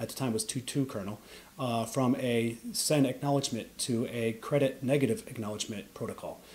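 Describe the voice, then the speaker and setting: A man with an American accent, somewhat breathy, at a fairly quick pace. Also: fairly even intonation. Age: 40s. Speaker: Linux kernel developer. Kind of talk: interview. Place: home room.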